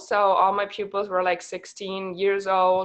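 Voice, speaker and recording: Someone with a German accent speaks over a quiet background. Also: woman. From Germany. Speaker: network marketing team leader, former teacher. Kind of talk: online team call talk. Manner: occasional pauses to think.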